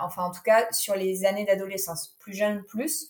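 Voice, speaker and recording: Woman's voice at a fairly slow pace with fairly even intonation. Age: 20s. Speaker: yoga teacher and naturopath. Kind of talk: personal testimony interview. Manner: hesitant, many fillers.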